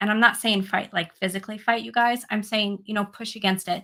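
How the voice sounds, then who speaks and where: A woman at a very fast pace, bright and sharp in tone, with medium pitch. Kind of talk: casual livestream chat with viewers. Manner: animated.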